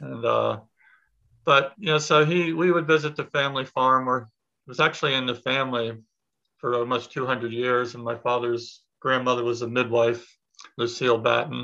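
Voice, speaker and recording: Against a quiet background, a man with a bright, sharp tone and medium pitch speaks at a moderate pace. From Pennsylvania. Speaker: permaculture teacher. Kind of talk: casual interview.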